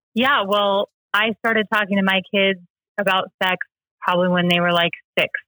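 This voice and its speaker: A woman with an unremarkable speaking voice talks at a moderate pace in an American accent, her medium pitch and fairly even intonation matched by very even loudness. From US, rural Washington state. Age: 30s. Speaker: church member sharing her story. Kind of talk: personal interview, testimony.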